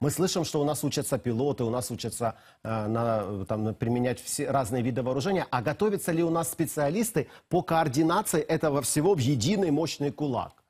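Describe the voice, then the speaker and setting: A man talks at a fairly quick pace, his fairly high voice somewhat breathy. His intonation is lively, and the background is quiet. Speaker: TV news presenter. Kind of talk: TV news interview. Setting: studio. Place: studio. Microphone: lapel.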